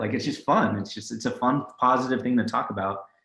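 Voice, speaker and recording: A man with a Californian accent at a fairly quick pace. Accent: Californian American. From San Francisco Bay Area. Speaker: tech company CEO. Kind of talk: interview.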